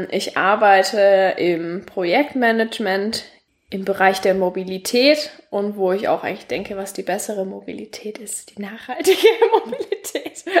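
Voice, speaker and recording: In a southern German accent, a woman speaks at a moderate pace with big swings in loudness. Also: medium pitch for a woman, ordinary pitch variation. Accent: southern German, audible. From Franconia, Nuremberg. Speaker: podcast host. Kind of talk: casual chat.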